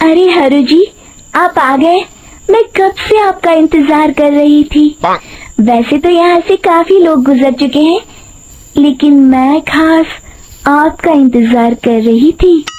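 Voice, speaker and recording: Speaking at a fairly slow pace, a woman uses a cartoonish character voice with a high pitch. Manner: sweet-voiced deceiver.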